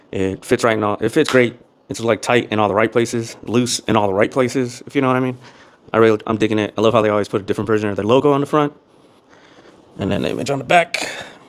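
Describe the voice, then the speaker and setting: A man talks at a very fast pace in a medium pitch with fairly even intonation. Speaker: fitness vlogger reviewing clothes. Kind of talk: casual vlog review. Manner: monotone.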